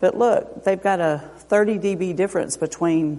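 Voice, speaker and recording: The speaker is a woman. She varies her pitch in an ordinary way. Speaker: audiologist. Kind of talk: lecture. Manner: loud.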